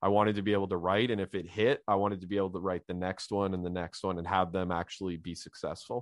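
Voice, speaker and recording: A man with a Canadian accent speaks fairly quickly in a plain, everyday voice, his pitch fairly low and his intonation fairly even. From Canada, Ottawa Valley. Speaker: crime novelist. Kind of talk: interview.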